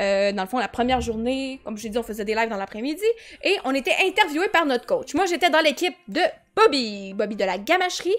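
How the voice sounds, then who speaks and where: With a Quebec accent, a woman speaks at a fairly quick pace in a high pitch that makes very wide swings. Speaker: streamer. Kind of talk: live stream chat. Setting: live stream. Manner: fast.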